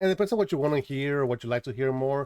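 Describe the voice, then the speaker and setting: A man with a Spanish accent and a fairly high pitch talks at a very fast pace in a very clean recording with a silent background. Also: dry, close sound with no echo. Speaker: anime commentator. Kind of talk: casual monologue.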